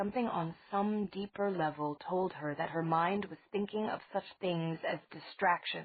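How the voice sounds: What you hear is a natural reading voice.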